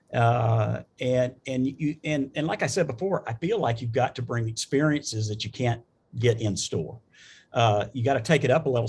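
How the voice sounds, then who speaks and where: A somewhat breathy voice with a Southern US accent. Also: man. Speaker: business executive, panelist. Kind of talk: panel discussion. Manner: halting, many fillers and restarts.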